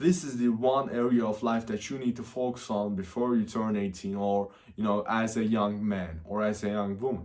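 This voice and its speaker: A man with a non-native accent, fairly low in pitch, at a moderate pace. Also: ordinary pitch variation, hardly any pauses. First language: not English. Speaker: self-improvement youtuber. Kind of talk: casual vlog advice. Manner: unscripted, with fillers.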